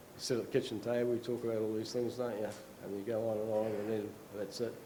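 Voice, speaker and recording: A medium-pitched man with an Australian accent, with noticeable background noise and audible room echo. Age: 60s. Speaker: retired dairy farmer. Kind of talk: conference talk. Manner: halting.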